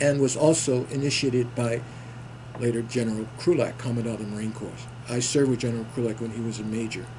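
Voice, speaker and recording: Very fast, monotone speech from a man with an American accent, with audible room echo and noticeable background noise. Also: medium pitch for a man. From New York City. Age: 70s. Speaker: war veteran. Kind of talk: interview. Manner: halting.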